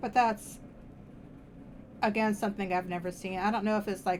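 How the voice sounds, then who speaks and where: A woman speaks quietly at a medium pitch. Her intonation is monotone and flat. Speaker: streamer doing tarot readings. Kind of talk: casual live stream chat.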